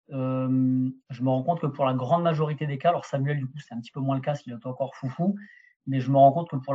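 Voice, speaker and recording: Somewhat breathy and fairly high-pitched, a man at a moderate pace with fairly even intonation. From southern France. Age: 30s. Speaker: tennis strength and conditioning coach. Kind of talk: podcast interview.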